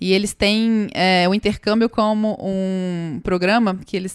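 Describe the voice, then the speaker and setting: Spoken with a Minas Gerais accent, this voice has ordinary pitch variation and a dry, close sound with no echo. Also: woman. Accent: Minas Gerais accent, noticeable. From Brazil, Minas Gerais. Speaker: startup co-founder. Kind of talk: podcast interview.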